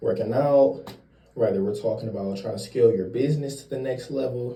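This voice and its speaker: A man speaks at a moderate pace and a medium pitch, his tone dark and mellow. The voice is somewhat breathy, with audible echo from the room. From Cleveland, Ohio, US Midwest. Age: 20s. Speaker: vlogger giving credit and life advice. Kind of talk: casual vlog monologue. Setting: getting ready for work early morning. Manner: casual, conversational.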